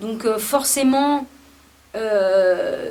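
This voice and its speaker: Audible room echo follows a woman speaking in a fairly high pitch. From France, Paris. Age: 30s. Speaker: musician. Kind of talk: interview. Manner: hesitant, many fillers.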